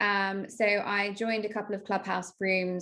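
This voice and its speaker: In a very clean recording with a silent background, a woman with a British accent speaks at a fairly slow pace in a medium pitch. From UK. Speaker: marketing strategist. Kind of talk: casual interview chat.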